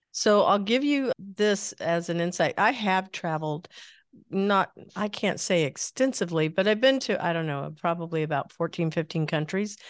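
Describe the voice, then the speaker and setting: Lively intonation marks this woman's medium-pitched voice. She speaks at a moderate pace against a quiet background. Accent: American. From US Midwest. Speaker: podcast host. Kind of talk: interview. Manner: animated.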